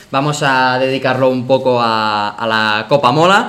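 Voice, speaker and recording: A man talks at medium pitch and a fairly slow pace, with ordinary pitch variation. Audible room echo and noticeable background noise are present. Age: 20s. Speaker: podcast host. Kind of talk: casual chat.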